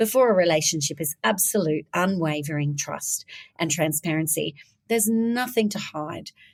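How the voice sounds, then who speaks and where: With an Australian accent and vocal fry, a woman speaks at a fairly low pitch and fairly quick pace, her intense tone carrying lively intonation in a dry, close sound with no echo. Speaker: business founder. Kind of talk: interview. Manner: fast; direct, intense.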